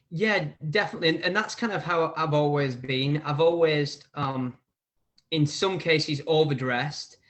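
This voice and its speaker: Speaking at a moderate pace with an English accent, a man uses a fairly high pitch and ordinary pitch variation. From northern England, near Manchester, Preston and Bolton. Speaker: barber and hair educator. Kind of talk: casual interview chat.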